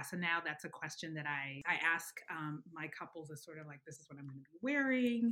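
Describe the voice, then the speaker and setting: Here a woman talks at a moderate pace. Her fairly low voice has a bright, sharp tone. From Uganda, then Alabama from age 10. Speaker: wedding photographer. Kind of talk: casual interview chat.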